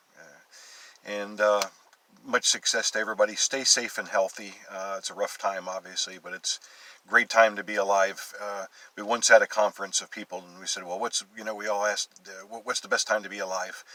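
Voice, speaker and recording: Against noticeable background noise, a man talks at a fairly quick pace with big swings in loudness, in a dry, close sound with no echo. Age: 60s. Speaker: real estate agent. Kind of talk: video self-presentation for a class. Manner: halting, many fillers.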